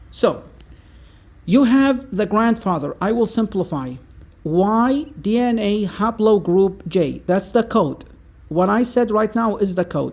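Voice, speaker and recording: An Arabic accent at a very slow pace. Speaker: content creator. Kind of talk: casual explainer monologue. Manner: halting, with many fillers.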